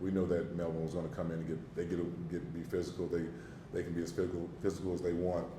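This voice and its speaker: Very fast and somewhat breathy, a man's very deep, low voice carries a dark, mellow tone through audible room echo. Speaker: basketball coach. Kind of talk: press conference. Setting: press conference room. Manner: animated.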